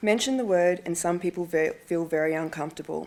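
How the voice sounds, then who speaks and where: A woman's fairly low voice at a fairly quick pace, with an Australian accent and ordinary pitch variation. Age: 40s. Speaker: ovarian cancer patient and awareness advocate. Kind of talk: prepared speech to parliamentarians. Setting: speech at a breakfast event.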